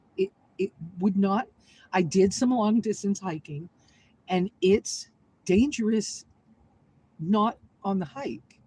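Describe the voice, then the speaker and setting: A woman speaks at a medium pitch and a fairly slow pace. Her voice is somewhat breathy, with ordinary pitch variation. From US Northeast, southern Maine. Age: 60s. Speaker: vlogger. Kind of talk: casual live-stream chat. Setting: inside a vehicle. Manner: emotional, heartfelt.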